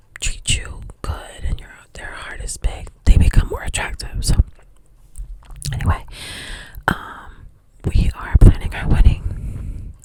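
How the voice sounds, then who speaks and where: A woman whispers at a fairly slow pace, with long, frequent pauses. Her loudness swings widely over noticeable background noise. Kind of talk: ASMR whisper ramble, personal storytime. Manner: whispered; chewing gum while talking.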